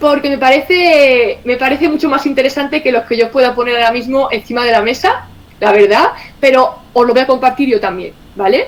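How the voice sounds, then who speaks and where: In an Andalusian accent, a woman talks at a fairly slow pace with an animated tone and high pitch, noticeable background noise behind her. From Andalusia, Spain. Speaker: communications director of a cooperative federation. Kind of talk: online presentation.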